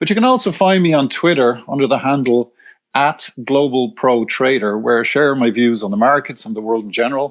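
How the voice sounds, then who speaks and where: The speaker has an Irish accent, a fairly quick pace and ordinary pitch variation. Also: man, medium pitch for a man. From Ireland, Dublin. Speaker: retired corporate treasurer turned precious metals writer. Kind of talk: podcast interview.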